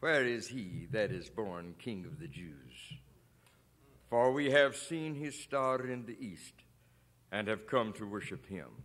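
The delivery is very slow. Its loudness swings widely. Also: man. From Chicago, USA. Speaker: preacher, pastor. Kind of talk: sermon preaching to a congregation. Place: church. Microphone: podium.

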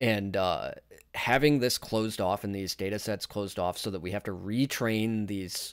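At a moderate pace, a man speaks in an ordinary speaking voice, fairly low in pitch, with fairly even intonation. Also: very clean recording, silent background. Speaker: tech YouTuber. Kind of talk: casual commentary video.

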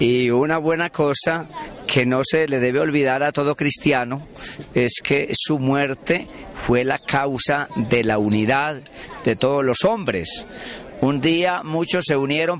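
The speech moves at a fairly slow pace with ordinary pitch variation and very even loudness, over light background noise in a dry sound with no echo. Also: man. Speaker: priest. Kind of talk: interview answer, preaching tone. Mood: earnest, devotional. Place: street. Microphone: handheld.

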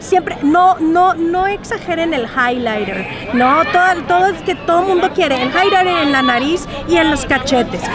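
A woman's voice with lively intonation, a fairly slow pace and hardly any pauses, dry with no echo, with music in the background. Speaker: celebrity on red carpet. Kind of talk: casual interview. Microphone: phone near.

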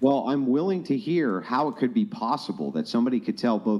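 A man speaks at a moderate pace with vocal fry and very wide swings in pitch. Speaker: remote podcast guest. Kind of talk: debate discussion. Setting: live stream. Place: home room. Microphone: studio mic.

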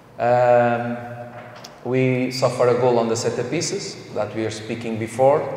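A man speaks at a medium pitch with little pitch movement and a slightly mellow tone. His pace is fairly slow, and the room echo is audible.

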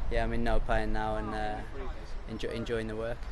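A man is speaking in a dry space with no echo. There is noticeable noise in the background. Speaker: professional footballer. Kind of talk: interview. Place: open country.

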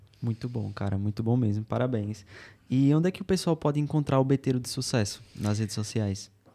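This man has a dark, mellow tone and speaks at a fairly quick pace. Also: ordinary pitch variation. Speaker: podcast host. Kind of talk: casual interview. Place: studio. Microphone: studio mic.

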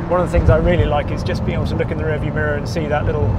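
Loud background noise fills the clip as a man speaks. The sound is dry with no echo. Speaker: car reviewer driving. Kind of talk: commentary. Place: car. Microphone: lapel.

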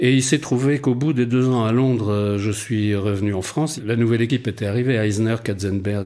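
A man's dark, mellow tone at a medium pitch and moderate pace, with hardly any pauses, very even loudness and fairly even intonation. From Brittany, Rennes. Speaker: dubbing writer. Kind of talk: interview. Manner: hesitant with fillers.

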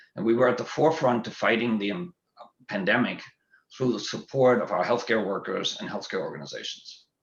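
A man with a German accent at a fairly quick pace. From Germany. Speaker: school board candidate, physician and executive. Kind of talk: candidate forum opening statement.

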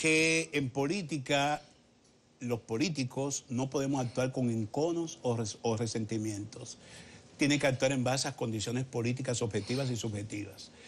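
Light background noise sits under a somewhat breathy voice with ordinary pitch variation and a moderate pace. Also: man. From Dominican Republic. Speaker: politician. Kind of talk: political interview. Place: studio. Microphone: lapel.

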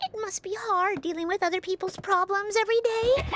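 This is a cartoonish character voice at an extremely high pitch. It moves at a fairly quick pace. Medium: puppet show. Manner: casual, chatty.

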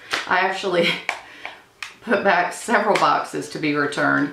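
The room adds audible echo. The speaker is a woman. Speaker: beauty vlogger. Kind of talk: casual chat. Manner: chatty. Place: home room.

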